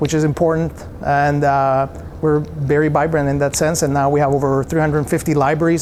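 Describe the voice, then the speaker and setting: A man with a Spanish accent talks at a fairly quick pace, his fairly high pitch held in fairly even intonation over noticeable background noise. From El Salvador. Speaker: software company founder. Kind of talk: interview.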